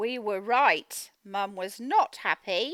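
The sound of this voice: A woman speaks at a slow pace in a fairly bright tone. The sound is dry and close, with no echo.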